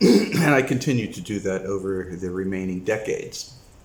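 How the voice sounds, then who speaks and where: In audible room echo, a man with an American accent talks at a fairly slow pace with a fairly low pitch and fairly even intonation. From United States. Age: 60s. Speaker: retired expat video blogger. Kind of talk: casual monologue vlog. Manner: halting, many fillers.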